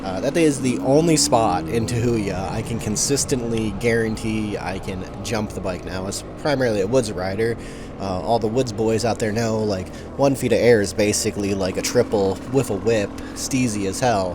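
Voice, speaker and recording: With music in the background and audible room echo, a man talks at a moderate pace in a fairly low pitch. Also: ordinary pitch variation. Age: 30s. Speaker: dirt bike rider and vlogger. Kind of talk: voice-over commentary. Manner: rambling, halting with many fillers.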